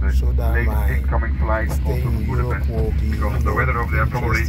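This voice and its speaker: A man talks at a very fast pace, with clear music playing in the background. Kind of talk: cabin announcement. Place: plane.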